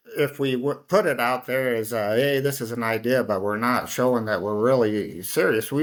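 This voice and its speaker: The speaker talks with a Midwestern American accent and lively intonation. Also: man. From Iowa, Council Bluffs. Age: 60s. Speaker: city council member. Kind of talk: interview conversation. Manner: halting.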